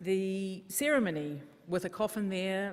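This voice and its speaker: Speaking at a medium pitch, a woman talks with a New Zealand accent. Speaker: funeral service worker. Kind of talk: conference talk.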